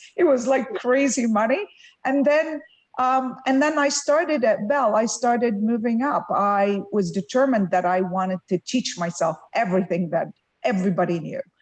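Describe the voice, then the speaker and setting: A woman speaks in an Arabic accent at a moderate pace and fairly high pitch. Her pitch swings very widely over a quiet background. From Lebanon. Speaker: tech executive. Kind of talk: fireside chat interview.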